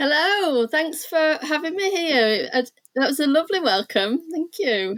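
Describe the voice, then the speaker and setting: A woman with a Yorkshire accent speaks high and at a fairly slow pace, her pitch swinging very widely. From northern England, Leeds, Yorkshire. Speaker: art therapist. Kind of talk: interview.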